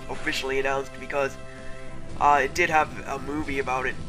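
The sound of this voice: With clear music in the background, a man talks at a fairly quick pace in a fairly high pitch with fairly even intonation.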